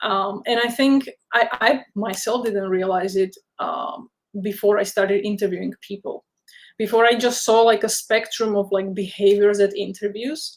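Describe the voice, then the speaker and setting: A woman speaks with a non-native accent at a moderate pace. Her pitch is medium, with ordinary variation. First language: not English. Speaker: career counsellor and software developer. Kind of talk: webinar interview, casual advice.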